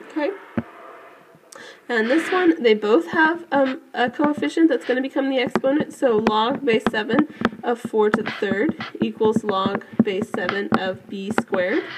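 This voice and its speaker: Behind the speaker there is noticeable background noise. A woman talks fairly slowly. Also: fairly high pitch for a woman, lively intonation. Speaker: math teacher. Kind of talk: tutorial. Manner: hesitant, frequent fillers.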